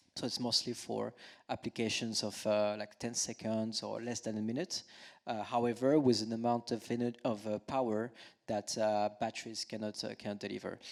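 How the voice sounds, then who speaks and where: On a very clean recording with a silent background, a man with a strong French accent talks at a moderate pace, his medium-pitched voice monotone and flat in intonation. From France. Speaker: climate tech company executive. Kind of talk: panel discussion. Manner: halting, many fillers.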